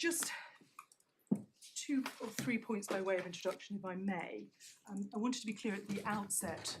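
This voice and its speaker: Soft-spoken and at a moderate pace, a woman of medium pitch uses lively intonation, with audible room echo and noticeable background noise. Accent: British. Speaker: barrister. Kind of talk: courtroom legal argument. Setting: courtroom. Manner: formal.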